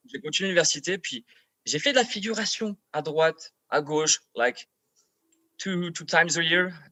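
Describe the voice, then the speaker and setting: A man with a French accent, high-pitched, at a fairly slow pace with long, frequent pauses. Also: ordinary pitch variation. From France, Paris. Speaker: actor. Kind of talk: casual chat. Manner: halting, repeats words.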